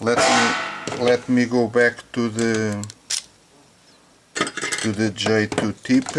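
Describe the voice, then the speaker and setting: A very slow, monotone, flat delivery in a non-native accent, with very even loudness, long, frequent pauses and noticeable background noise. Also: man, medium pitch for a man. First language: not English. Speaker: hobbyist tech reviewer. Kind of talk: product test demonstration. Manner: halting, many fillers and repetitions.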